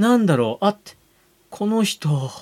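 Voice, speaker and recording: At a moderate pace, the voice makes very wide pitch swings, with a dry, close sound and no echo. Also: man. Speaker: podcast co-host. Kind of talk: casual chat. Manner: animated.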